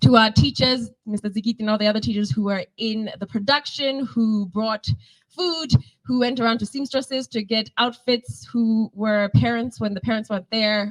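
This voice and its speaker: A woman speaks at a moderate pace in a fairly high pitch, her voice somewhat breathy. The pitch varies in an ordinary way, and the sound is dry and close with no echo. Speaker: school staff member. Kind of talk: closing speech at press conference. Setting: cinema press conference.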